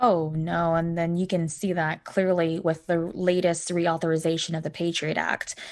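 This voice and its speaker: With an American accent, a woman speaks at a moderate pace in a fairly low, monotone, flat voice with hardly any pauses. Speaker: political candidate. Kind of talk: interview.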